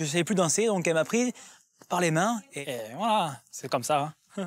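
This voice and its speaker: The speech moves at a moderate pace with lively intonation, and the sound is dry and close with no echo. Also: man, high pitch for a man. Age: 20s. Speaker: reality TV participant. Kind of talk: casual chat.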